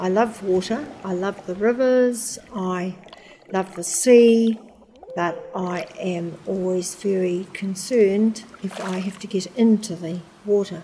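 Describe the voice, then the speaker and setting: A woman with a New Zealand accent speaks at a medium pitch with fairly even intonation. She talks at a very slow pace against noticeable background noise. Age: 80s+. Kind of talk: documentary interview, personal recollection.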